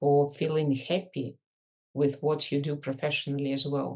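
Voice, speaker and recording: A woman's very deep, low voice with a Russian accent, fairly slow, over a quiet background. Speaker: leadership and business coach. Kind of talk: podcast interview.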